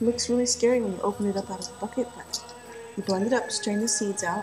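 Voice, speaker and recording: Music is playing in the background. A woman's speech moves rather quickly. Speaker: vlogger. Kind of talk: casual vlog monologue.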